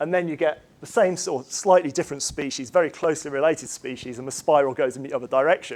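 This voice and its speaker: A man talks at a fairly quick pace with an English accent. His voice is fairly high, with ordinary pitch variation. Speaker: chemistry professor. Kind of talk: lecture. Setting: lecture hall with audience. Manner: fast; hesitant, many fillers.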